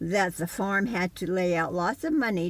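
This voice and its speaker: On a very clean recording with a silent background, a woman speaks at a fairly low pitch with vocal fry. Her pace is fairly slow and her pitch varies in an ordinary way. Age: 80s+. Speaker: retired registered nurse. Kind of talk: personal testimony to camera.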